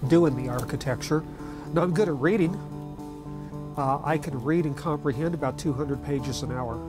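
Clear music plays in the background as a woman talks at a moderate pace. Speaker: documentary subject. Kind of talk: documentary interview answer. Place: home room.

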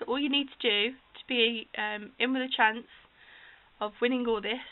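A woman with a British accent and fairly even intonation. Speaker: crafter hosting a giveaway. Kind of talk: casual talk to camera. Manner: hesitant, many fillers. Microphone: phone near.

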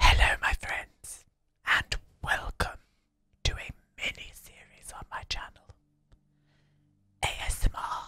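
A man is whispering at a fairly slow pace. He leaves long, frequent pauses. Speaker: gaming content creator / video host. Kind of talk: whispered ASMR game-building commentary. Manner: whispered, soft-spoken, slow. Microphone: studio mic.

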